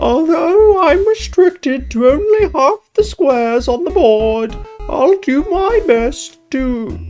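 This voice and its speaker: Faint music plays behind a high-pitched, put-on character voice that moves at a fairly slow pace. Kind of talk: comic put-on silly voice. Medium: actual play. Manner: earnest, formal, fretful.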